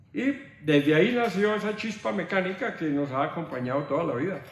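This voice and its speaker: Lively intonation from a man over noticeable background noise. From Boyacá, Colombia. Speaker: artisan and technical teacher. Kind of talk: interview answer.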